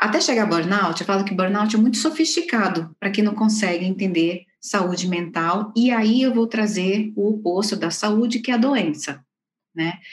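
In a plain, everyday voice, a woman talks at a moderate pace and medium pitch with lively intonation. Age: 40s. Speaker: organizational psychologist. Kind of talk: interview.

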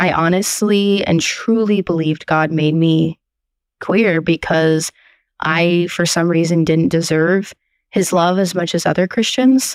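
A plain, everyday voice from a woman, fairly low in pitch, speaking at a fairly slow pace with ordinary pitch variation and very even loudness, recorded very cleanly against a silent background with a dry, close sound and no echo. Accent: American. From Portland, Oregon. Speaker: listener sharing coming-out story. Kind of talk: recorded testimony.

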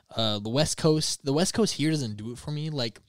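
An American-accented man speaks in an animated tone at a medium pitch. The recording is very clean, with a silent background. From Michigan. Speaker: filmmaker. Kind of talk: casual chat.

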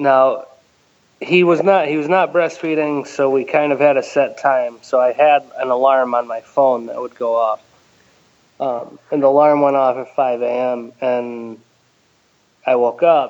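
Fairly high in pitch, a man with an American accent has an ordinary speaking voice and talks at a fairly slow pace with fairly even intonation. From Connecticut, US. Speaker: listener sharing personal story. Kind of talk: interview testimony.

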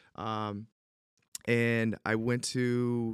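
In a very clean recording with a silent background and a dry, close sound with no echo, a man speaks with an Upstate New York accent. His pitch is fairly low and his intonation monotone and flat. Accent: Upstate New York American. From Central New York (Syracuse). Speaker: former pro baseball player, real estate agent. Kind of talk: casual chat.

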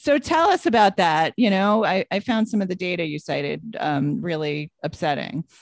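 A woman with a normal speaking voice, medium pitch, lively intonation, a moderate pace and hardly any pauses, in a dry, close sound with no echo. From New York. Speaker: podcast co-host. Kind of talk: casual chat.

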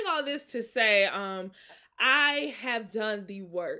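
On a very clean recording with a silent background, a woman with an American accent speaks loudly in an animated, bright, sharp tone. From Mississippi, US South. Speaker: podcast host and author. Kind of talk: casual solo podcast chat. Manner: loud, animated, casual.

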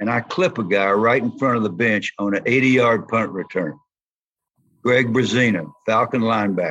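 A man's medium-pitched voice, with normal rises and falls in pitch, moves at a moderate pace. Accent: Southern US. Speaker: former football player and coach. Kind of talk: interview.

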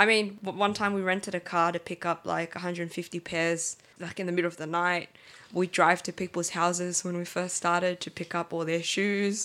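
A woman with an Australian accent talks at a fairly quick pace in a bright, sharp tone. Her pitch is fairly low, her intonation monotone and flat. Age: 20s. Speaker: sneaker marketplace co-founder. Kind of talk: casual interview.

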